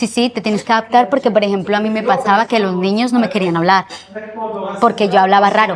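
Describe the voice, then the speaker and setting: A woman at a fairly high pitch, very fast pace, and fairly even intonation. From Colombia, Manizales; moved to Spain at 9. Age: 30s. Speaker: interviewee telling life story. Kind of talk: interview testimony.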